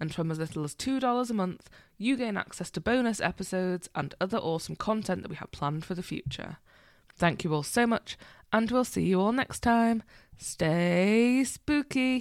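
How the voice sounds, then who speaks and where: A woman with an ordinary speaking voice uses lively intonation, a medium pitch and a moderate pace, recorded very cleanly against a silent background. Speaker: podcast host. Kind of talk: casual chat between co-hosts.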